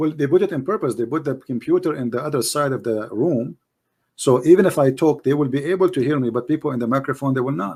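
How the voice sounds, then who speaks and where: In a very clean recording with a silent background, a man with an Arabic accent and a dark, mellow tone speaks very fast at a fairly high pitch with ordinary pitch variation. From Middle East. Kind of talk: heated debate. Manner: animated.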